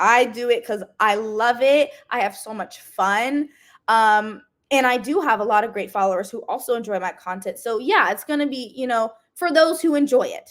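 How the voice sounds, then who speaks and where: An energetic woman's voice, high in pitch, with lively intonation at a moderate pace, in a very clean recording over a silent background. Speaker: fitness influencer and dental student. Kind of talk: interview.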